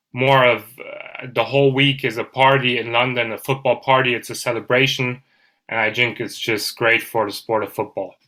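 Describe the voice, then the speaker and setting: Male speech with a German accent, medium in pitch, bright and sharp in tone, monotone and flat, at a moderate pace. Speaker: podcast host, guest. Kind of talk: casual chat.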